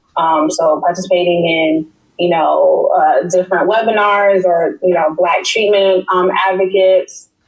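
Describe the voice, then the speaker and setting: Speaking with an American accent in a plain, everyday voice, a woman keeps a medium pitch, fairly even intonation, very even loudness and a fairly slow pace with hardly any pauses. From New York City (Queens). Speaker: public health researcher. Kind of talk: interview.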